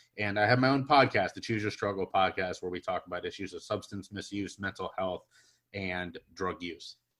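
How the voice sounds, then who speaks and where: At a moderate pace and with a Midwestern accent, the speaker uses ordinary pitch variation and big swings in loudness. The recording is very clean, with a silent background. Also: man, fairly low pitch for a man. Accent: General American (Midwest). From US Midwest, Cincinnati, Ohio. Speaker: public speaker and podcast host. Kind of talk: interview guest testimony.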